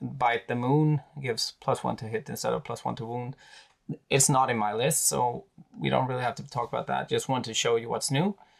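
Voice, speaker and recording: Speaking with a Swedish accent, a man uses a medium pitch and fairly even intonation. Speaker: wargaming YouTuber. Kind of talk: tutorial. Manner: halting, many fillers.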